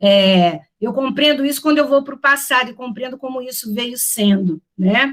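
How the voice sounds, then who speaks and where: Her voice is high-pitched, with big swings in loudness. The woman keeps a moderate pace with hardly any pauses. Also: ordinary pitch variation. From Rio de Janeiro, Brazil. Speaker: professor. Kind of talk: lecture. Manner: hesitant, many fillers.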